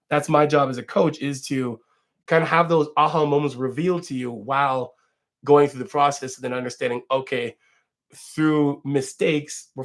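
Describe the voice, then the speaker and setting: A man speaks with fairly even intonation at a moderate pace. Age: 40s. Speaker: fitness coach. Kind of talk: casual livestream chat. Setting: livestream at home. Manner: rambling, halting with fillers.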